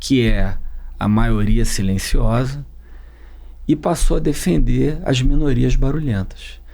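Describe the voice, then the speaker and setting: A man talks very slowly, and audible room echo surrounds his voice. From Rio de Janeiro, suburbs. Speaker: political campaign strategist. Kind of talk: interview conversation. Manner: halting.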